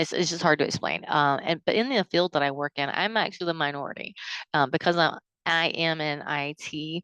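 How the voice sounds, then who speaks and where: With a Southern US accent, a woman talks at a fairly quick pace and fairly even intonation, the sound dry and close with no echo and the background quiet. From US South, South Carolina. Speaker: counseling student. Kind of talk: class reflection video. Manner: halting, many fillers.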